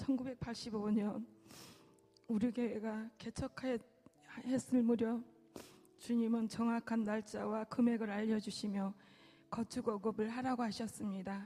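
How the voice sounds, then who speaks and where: A very slow, monotone delivery with flat intonation, a dark, mellow tone, some breathiness, and long, frequent pauses. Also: woman, fairly high pitch for a woman. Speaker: church deaconess. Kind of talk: testimony.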